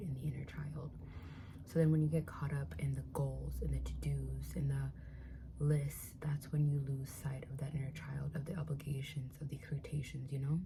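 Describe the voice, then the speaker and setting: A woman talks at a fairly quick pace. She is soft-spoken. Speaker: spiritual content creator. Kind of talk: casual ASMR eating chat to camera.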